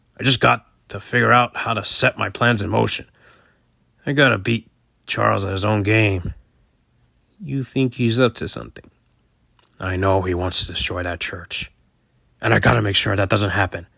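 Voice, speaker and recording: A man puts on a raspy character voice, fairly low-pitched with ordinary pitch variation, talking at a moderate pace with long, frequent pauses. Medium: machinima. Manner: brusque, impatient.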